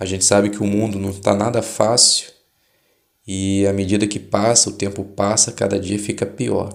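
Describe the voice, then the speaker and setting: This man speaks at a moderate pace with a fairly low pitch and a monotone, flat delivery. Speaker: Bible study channel host. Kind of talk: religious study explanation. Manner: informal, conversational.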